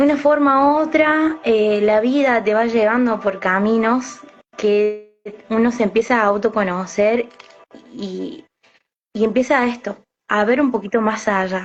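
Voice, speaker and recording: Music plays in the background as a woman speaks fairly slowly. Her pitch is fairly high, with ordinary variation. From Argentina, Córdoba city. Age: 20s. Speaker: alternative therapist and psychic medium. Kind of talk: interview. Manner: hesitant, many fillers.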